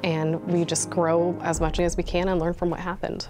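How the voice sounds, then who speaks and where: Clear music plays behind a woman who talks at a fairly quick pace. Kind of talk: interview answer. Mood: earnest, reflective then upbeat. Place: office. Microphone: lapel.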